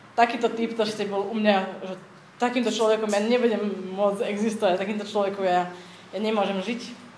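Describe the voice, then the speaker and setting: A woman speaks at a fairly quick pace in a monotone, flat intonation, with noticeable background noise and audible room echo. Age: 30s. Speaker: church community member. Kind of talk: testimony. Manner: halting.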